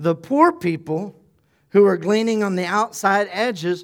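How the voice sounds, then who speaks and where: Recorded very cleanly against a silent background, a man speaks in a high pitch with lively intonation. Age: 30s. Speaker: pastor. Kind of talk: sermon. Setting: church service with congregation.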